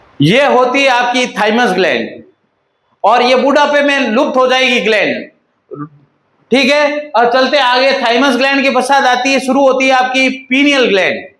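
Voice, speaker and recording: A man with an extremely high voice and a bright, sharp tone speaks at very even loudness, with audible room echo. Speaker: paramedical teacher. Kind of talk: lecture. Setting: online class recording. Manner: repetitive, emphatic. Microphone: echo reported by viewer.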